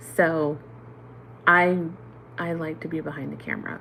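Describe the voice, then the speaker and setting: Fairly even in intonation, a woman speaks with a very deep, low pitch. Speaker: reborn doll artist and mother. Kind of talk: livestream chat. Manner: loud.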